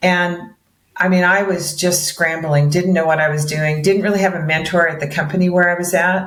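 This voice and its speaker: In a room with audible echo, a woman with a fairly low pitch speaks in a monotone, flat intonation. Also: moderate pace. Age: 60s. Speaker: mortgage broker. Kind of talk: interview.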